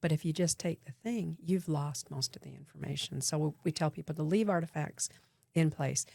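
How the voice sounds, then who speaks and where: In a very deep, low pitch with a dark, mellow tone, a woman with an American accent sounds somewhat breathy on a dry, close recording with no echo. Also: ordinary pitch variation. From Utah. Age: 70s. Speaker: archaeologist. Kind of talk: interview.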